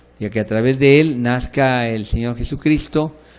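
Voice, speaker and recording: Moderate in pace with ordinary pitch variation, this is an unremarkable speaking voice. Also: man. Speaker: pastor teaching a bible course. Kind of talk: lecture.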